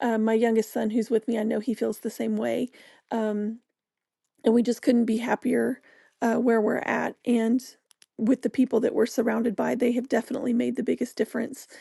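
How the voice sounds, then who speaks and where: A woman speaks at a fairly high pitch in a dark, mellow tone, with monotone, flat intonation. The sound is dry and close with no echo, and the background is quiet. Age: 40s. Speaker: podcast host. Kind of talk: personal monologue. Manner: halting.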